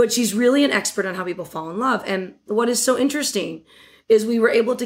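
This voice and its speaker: A woman with an American accent and an ordinary speaking voice, at a fairly quick pace with ordinary pitch variation, on a very clean recording with a silent background. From Western New York, Batavia. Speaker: marketing executive. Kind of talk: interview.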